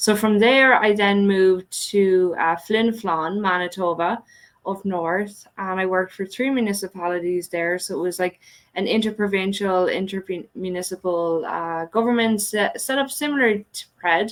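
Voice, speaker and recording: A woman with an Irish accent speaks at a moderate pace, her medium pitch showing ordinary pitch variation. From Ireland. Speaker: economic development director. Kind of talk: podcast interview. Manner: hesitant fillers.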